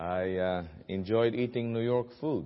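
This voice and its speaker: This man has a fairly low-pitched voice and speaks with a Filipino accent. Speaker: guest preacher at a missions conference. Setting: church service.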